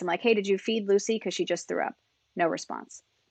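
Talking at a very fast pace, a woman with an American accent keeps her intonation fairly even. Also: dry, close sound with no echo, quiet background. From upstate New York, near Albany. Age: 30s. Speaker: helicopter company owner and pilot examiner. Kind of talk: casual interview.

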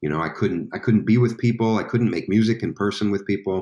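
A man speaks with an American accent. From Staten Island, New York. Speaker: musician. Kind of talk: casual chat. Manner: halting.

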